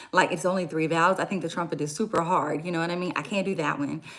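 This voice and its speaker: A soft-spoken woman talks with an American accent. Her intonation stays fairly even. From Louisiana, near New Orleans. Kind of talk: casual livestream talk.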